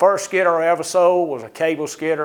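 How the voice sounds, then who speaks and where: This man has a high-pitched voice. He talks at a moderate pace. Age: 60s. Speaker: trade association president. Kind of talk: presentation.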